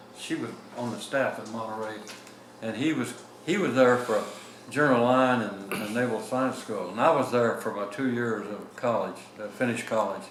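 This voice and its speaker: Moderately paced speech with ordinary pitch variation, amid noticeable background noise and audible room echo. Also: man, medium pitch for a man. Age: 90s. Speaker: retired navy captain. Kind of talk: oral history interview. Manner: halting.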